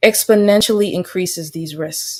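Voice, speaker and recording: A woman at a moderate pace. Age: 20s. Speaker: public commenter at a hearing. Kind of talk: prepared public testimony. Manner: formal; halting.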